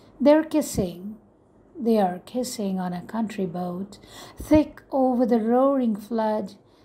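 A woman talks at a very slow pace, at medium pitch. Her tone is dark and mellow, and somewhat breathy. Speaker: poet reading her own poem. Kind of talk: spoken-word poetry reading, impassioned and defiant. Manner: measured, emphatic, rhythmic with repeated refrain; intense, urgent, building to a forceful final line.

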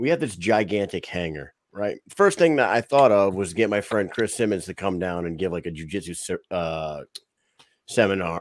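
Recorded dry with no echo, a man with a fairly low pitch talks at a moderate pace with ordinary pitch variation. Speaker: podcast host. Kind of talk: casual chat. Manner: energetic. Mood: relaxed, conversational. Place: home room.

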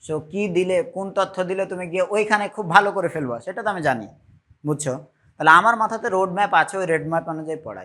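A man projects a raised, high-pitched voice with a bright, sharp tone. His loudness swings widely. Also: ordinary pitch variation. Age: middle-aged. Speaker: physics teacher. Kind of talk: lecture. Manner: conversational, frequent checking questions.

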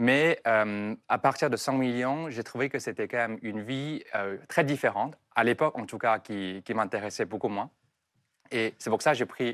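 A man with a Chinese accent, moderate pace and ordinary pitch variation, over a quiet background. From southern China, Foshan; China. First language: Chinese (speaking French). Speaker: entrepreneur; TV guest. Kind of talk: interview. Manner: halting. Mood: calm, reflective, smiling. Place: studio. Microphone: lapel.

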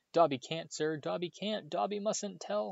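This man puts on a character voice. It sits at a fairly high pitch and moves at a moderate pace. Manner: squealing, distressed.

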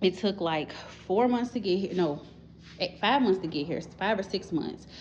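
A woman with ordinary pitch variation, over light background noise. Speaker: homeowner vlogger. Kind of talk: casual house tour narration. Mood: relaxed, chatty. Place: home room. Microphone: phone near.

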